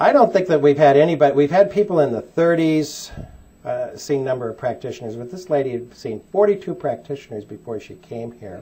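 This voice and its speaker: The speaker has a Midwestern accent, lively intonation and a fairly quick pace. Noticeable background noise can be heard. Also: man, fairly high pitch for a man, big swings in loudness. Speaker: back pain doctor. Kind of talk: seminar talk to audience.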